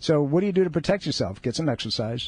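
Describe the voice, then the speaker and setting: Very fast and somewhat breathy, a man speaks in an upbeat tone. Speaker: radio host and chiropractor. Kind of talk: live radio talk show patter with promos and caller advice. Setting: radio studio. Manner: conversational, upbeat, persuasive, pitching the show and charity between segments.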